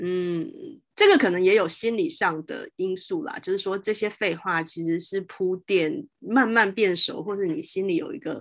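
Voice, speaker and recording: A woman at medium pitch with very wide pitch swings, a moderate pace and a quiet background. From Taiwan, Taoyuan. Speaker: podcast host. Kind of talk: interview conversation. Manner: hesitant, many fillers.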